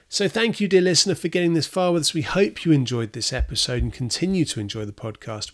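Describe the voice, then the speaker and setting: In a very clean recording with a silent background, a man with a British accent talks at a very fast pace with hardly any pauses and very wide pitch swings. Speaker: podcast host. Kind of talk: scripted narration; interview. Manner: hesitant, many fillers.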